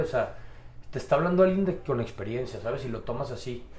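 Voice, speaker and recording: A man talks at a fairly quick pace, with audible room echo and noticeable background noise. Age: 30s. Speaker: amateur boxer. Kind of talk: casual interview.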